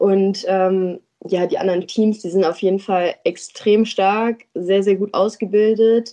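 Her intonation monotone and flat, a woman talks very slowly at a medium pitch. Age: 20s. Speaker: amateur footballer and former ice hockey goalie. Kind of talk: casual interview. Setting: podcast studio in Düsseldorf.

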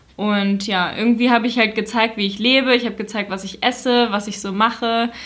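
A woman's speech moves at a moderate pace, her intonation monotone and flat. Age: 20s. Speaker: influencer. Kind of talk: interview.

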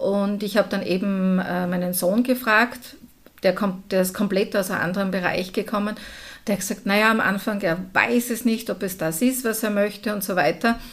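A woman speaks at a moderate pace in a normal speaking voice, her medium pitch carried on fairly even intonation. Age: 50s. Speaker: entrepreneur. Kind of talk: interview.

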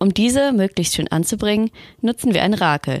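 A woman talks at a fairly quick pace with lively intonation in a normal speaking voice. The sound is dry and close, with no echo. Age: 20s. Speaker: library assistant. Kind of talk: scripted narration.

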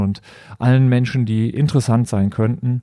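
A man speaks at medium pitch and a moderate pace. His tone is dark and mellow, with fairly even intonation. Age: 40s. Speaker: company executive hosting a corporate podcast. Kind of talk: solo podcast introduction. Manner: hesitant, many filler sounds.

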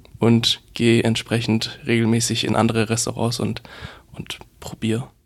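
A man talks at a fairly slow pace. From rural Bavaria. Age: 20s. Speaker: web portal founder and student. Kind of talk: reading event tips; casual interview. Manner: hesitant, repeats words.

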